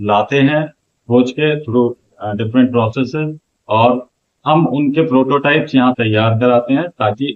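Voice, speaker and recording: Fairly even intonation in a man's plain, everyday voice, pitched in the middle range. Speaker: outreach manager at innovation centre. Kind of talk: interview answer.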